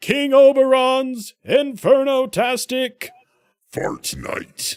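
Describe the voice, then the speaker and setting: A man puts on a character voice at an extremely high pitch, speaking at a very slow pace. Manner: dramatic.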